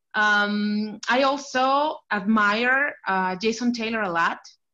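At a very slow pace, a woman with a Spanish accent speaks in a bright, sharp tone and a fairly high pitch. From Mexico, Chihuahua. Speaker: Dolphins fan. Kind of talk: casual interview. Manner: halting.

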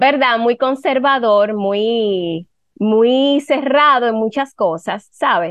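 The woman's pitch is fairly high and varies in an ordinary way. She speaks at a very slow pace. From Dominican Republic. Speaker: digital marketing strategist and photographer. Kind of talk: casual chat.

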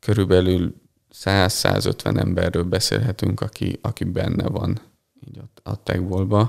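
Very deep, low male voice with vocal fry, fairly even intonation and big swings in loudness. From Hungary, Balassagyarmat. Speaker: physiotherapist and techball coach. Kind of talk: interview. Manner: hesitant, many fillers.

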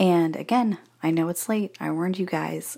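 Someone soft-spoken talks at a moderate pace. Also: woman. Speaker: essential oil seller and podcaster. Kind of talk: sales pitch. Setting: bathroom at in-laws' house. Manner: casual.

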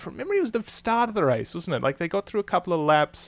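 The sound is dry and close with no echo. A man with an Australian accent speaks with very wide pitch swings. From Australia, Melbourne. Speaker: F1 journalist and podcast host. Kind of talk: casual interview.

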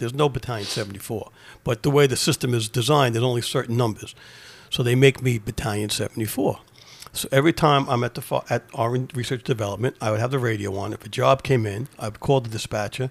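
In a New York accent, a man speaks at a very fast pace in a medium pitch, somewhat breathy, with fairly even intonation and a dry, close sound with no echo. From New York City, Queens. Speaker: retired fire department deputy chief. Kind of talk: casual interview.

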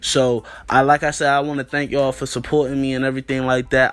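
Talking at a fairly quick pace, a man with an American accent keeps his intonation monotone and flat. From US Mid-Atlantic (DC area, Northern Virginia). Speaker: podcast host, college student. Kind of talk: casual vlog monologue. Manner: talkative.

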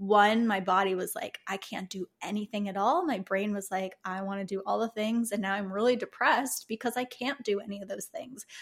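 With a normal speaking voice and an American accent, a woman talks at a fairly quick pace and medium pitch, with ordinary pitch variation, hardly any pauses, and a very clean recording over a silent background. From US Midwest, Chicago. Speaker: herbalist and alternative health practitioner. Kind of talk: casual interview chat.

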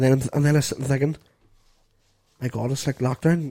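Somewhat breathy with a dark, mellow tone, a man rushes along at a very fast pace in a medium pitch. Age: 20s. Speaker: podcast co-host. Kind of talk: casual chat.

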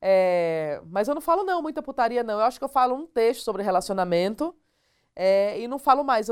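Against a very clean recording with a silent background, a woman with a northeastern Brazilian accent speaks at a moderate pace and a fairly high pitch, with very wide pitch swings. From Northeast Brazil (Alagoas). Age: 40s. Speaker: stand-up comedian. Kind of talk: casual interview chat.

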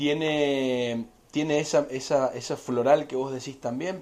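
A man speaks with a Cuyo Argentine accent and ordinary pitch variation. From Argentina, Mendoza. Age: 30s. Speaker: winery representative. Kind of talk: interview about wine. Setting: in person.

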